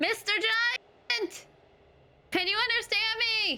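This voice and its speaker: A put-on character voice, squeaky and loud, shouting at an extremely high pitch and a very slow pace. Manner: yelling loudly.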